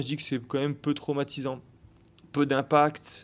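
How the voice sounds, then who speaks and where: On a very clean recording against a silent background, a man speaks at a moderate pace. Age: 30s. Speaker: fitness coach. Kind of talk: interview. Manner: halting.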